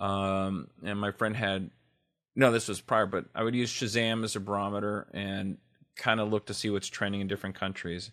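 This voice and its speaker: A flat, monotone voice with a Californian accent comes through on a very clean recording with a silent background. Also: man, fairly low pitch for a man, moderate pace. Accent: Californian American. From Los Angeles (West LA). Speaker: radio DJ. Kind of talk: casual interview chat.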